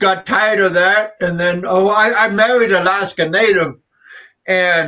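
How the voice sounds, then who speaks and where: A man projects a raised voice at a high pitch, keeping his loudness very even. His pitch moves in an ordinary way. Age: 60s. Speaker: live stream guest. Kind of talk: casual chat. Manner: halting.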